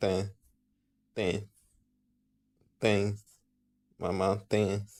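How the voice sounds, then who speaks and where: A man puts on a raspy character voice, pitched fairly low. He delivers it in a flat monotone. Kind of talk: casual, joking.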